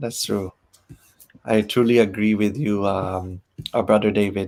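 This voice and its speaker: The speaker is a man with a fairly low pitch. He talks at a fairly slow pace in a monotone, flat intonation. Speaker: program host. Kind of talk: live online program wrap-up.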